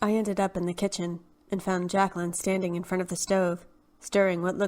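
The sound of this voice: The clip has an unforced reading voice. That voice carries the whole recording.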